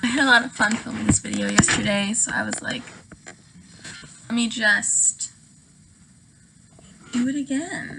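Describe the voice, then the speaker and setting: Noticeable background noise surrounds a woman with a high pitch. She speaks at a fairly slow pace with ordinary pitch variation. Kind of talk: casual get-ready-with-me talk to camera. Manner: calm.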